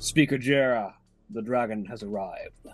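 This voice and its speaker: A man's put-on character voice at a medium pitch, with faint music in the background. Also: moderate pace. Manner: gruff, announcing.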